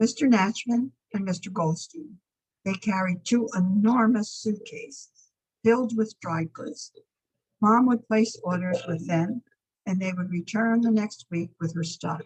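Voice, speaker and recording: Somewhat breathy and fairly high in pitch, a woman with an American accent speaks at a fairly slow pace with ordinary pitch variation. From Piermont, New York (lower Hudson Valley). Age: 80s+. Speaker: local resident sharing memories. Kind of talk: reading aloud memoir.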